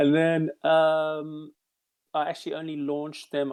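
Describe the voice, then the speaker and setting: A man speaks at a moderate pace in a South African accent. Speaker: game developer. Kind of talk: casual chat.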